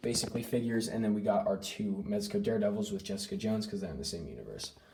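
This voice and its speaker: Very wide pitch swings in a man's somewhat breathy voice, dark and mellow in tone. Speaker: action figure collector YouTuber. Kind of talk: casual collection tour. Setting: home room / closet. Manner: fast. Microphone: filming on iPad, poor quality.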